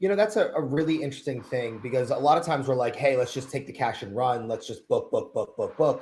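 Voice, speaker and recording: A man speaks at a very fast pace with hardly any pauses. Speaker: DJ business owner. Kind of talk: casual panel discussion.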